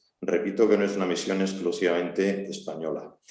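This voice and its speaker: In a fairly low pitch and monotone, flat intonation, a man speaks amid audible room echo. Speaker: army colonel, seminar speaker. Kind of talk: seminar talk. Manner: slow.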